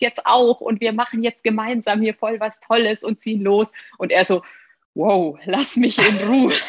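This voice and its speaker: A woman's fairly high, somewhat breathy voice at a fairly slow pace, dry and close with no echo. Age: 30s. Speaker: former tax advisor turned digital nomad. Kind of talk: interview.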